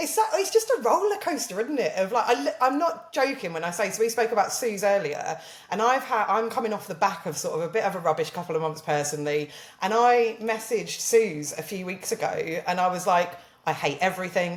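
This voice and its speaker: A woman with a southern English accent at a medium pitch, fairly quick pace and very wide pitch swings, amid noticeable background noise. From southern England. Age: 30s. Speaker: social media marketer. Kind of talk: casual chat.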